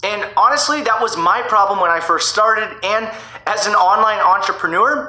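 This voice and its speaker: Over noticeable background noise and audible room echo, a man with a high pitch speaks in a raised, projected voice with an energetic tone and ordinary pitch variation. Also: moderate pace. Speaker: online marketing YouTuber. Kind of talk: tutorial. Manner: energetic, coaching tone.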